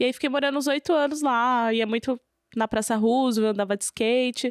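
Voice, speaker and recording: A woman's high voice in a São Paulo accent, fairly quick with fairly even intonation, dry and close with no echo on a very clean recording with a silent background. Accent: São Paulo Brazilian Portuguese. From São Paulo city, East Zone, Brazil. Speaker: rapper. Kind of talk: interview conversation.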